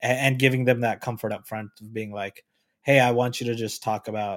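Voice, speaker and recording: This man has an ordinary speaking voice, a medium pitch and fairly even intonation. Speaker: podcaster friend. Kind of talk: casual chat. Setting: remote recording.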